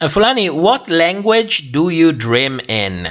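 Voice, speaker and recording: This man has a fairly high pitch and speaks with a non-native accent. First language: not English. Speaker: YouTuber hosting a livestream. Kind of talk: livestream chat reading viewer comments. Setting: livestream. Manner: halting with many fillers.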